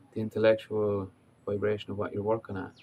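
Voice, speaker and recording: Over noticeable background noise, a man with an Irish accent talks in a relaxed tone at a fairly low pitch. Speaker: life coach. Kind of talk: casual talk to camera. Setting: outdoors. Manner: relaxed, hesitant.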